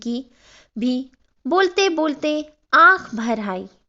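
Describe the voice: Big pitch swings in a bright, sharp tone. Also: woman.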